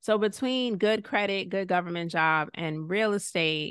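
In an American accent, the speaker uses an ordinary speaking voice with fairly even intonation at a moderate pace over a quiet background. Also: woman. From Georgia, US (Savannah, Stone Mountain area). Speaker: real estate investor and insurance professional. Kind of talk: interview.

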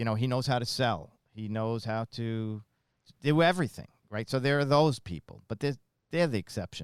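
On a very clean, dry, close recording with no echo and a silent background, a man with an unremarkable speaking voice talks at a moderate pace and medium pitch with lively intonation. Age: 50s. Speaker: television producer. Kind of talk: casual interview.

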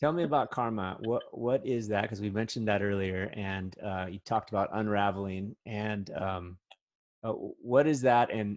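Against a quiet background, a man talks at a moderate pace. His pitch is fairly low, with ordinary variation. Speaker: podcast host. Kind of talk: casual interview chat. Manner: halting, fillers.

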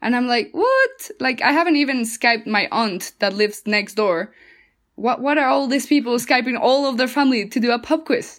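At a moderate pace, a woman speaks with a Spanish accent. Her pitch is high and her loudness very even. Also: ordinary pitch variation. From Colombia. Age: 20s. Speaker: yoga instructor. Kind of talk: interview.

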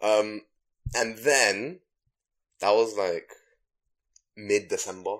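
A man talks at a fairly slow pace. He speaks in a London accent. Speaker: podcast co-host. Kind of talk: casual chat.

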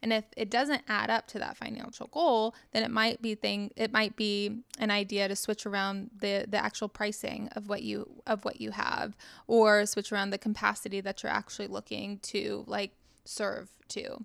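A woman's medium-pitched voice with an American accent, flat monotone delivery and vocal fry, at a moderate pace, dry and close with no echo, on a very clean recording with a silent background. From Texas, Dallas. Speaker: business coach. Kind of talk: casual interview.

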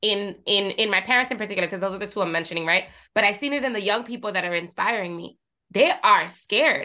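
Talking very fast in a bright, sharp tone, a woman with a medium pitch and ordinary pitch variation is heard on a very clean recording with a silent background. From US Northeast, Jersey City, Puerto Rican community. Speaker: communications strategist and podcast host. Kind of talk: casual interview.

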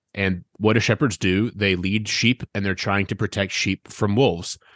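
A man speaks in a normal speaking voice at a moderate pace, his pitch fairly low and his intonation fairly even. The background is quiet, and the sound is dry and close with no echo. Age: 30s. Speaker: author and social media consultant. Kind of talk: interview.

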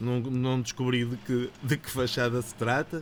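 There is noticeable background noise. Over it, a man speaks fairly slowly at a medium pitch. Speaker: podcast co-host. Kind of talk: casual chat.

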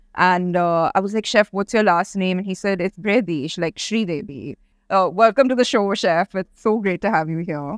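Recorded very cleanly with a silent background and a dry, close sound with no echo, a woman uses a plain, everyday voice at medium pitch and a moderate pace with ordinary pitch variation. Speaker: podcast host. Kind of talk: casual interview. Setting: studio kitchen.

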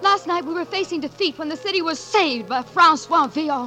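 A woman puts on a character voice, extremely high in pitch with a bright, sharp tone. Her lively intonation moves at a fairly quick pace, with faint music in the background.

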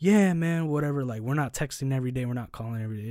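The voice has a dark, mellow tone and ordinary pitch variation, delivered at a very fast pace. The recording is very clean, with a silent background. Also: man. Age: 20s. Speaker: podcast host. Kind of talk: casual chat.

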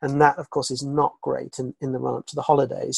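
A man with a British accent and fairly high pitch, in a dry, close sound with no echo. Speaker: retail analyst. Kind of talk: casual interview chat.

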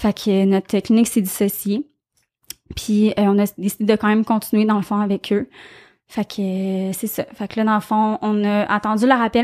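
A woman's fairly high, fairly quick voice with monotone, flat intonation, a dry, close sound with no echo, and a very clean recording with a silent background. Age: 30s. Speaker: guest sharing infertility experience. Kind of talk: testimony.

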